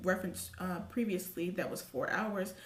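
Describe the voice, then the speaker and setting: This woman has an American accent and a medium pitch, with some vocal fry. Her intonation stays fairly even, and room echo is audible. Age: 20s. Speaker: YouTube commentary vlogger. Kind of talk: casual commentary. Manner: fast.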